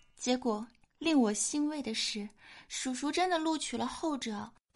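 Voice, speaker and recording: A woman talks with lively intonation at a high pitch. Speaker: podcast host. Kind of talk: comedic casual chat show. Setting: studio. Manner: animated.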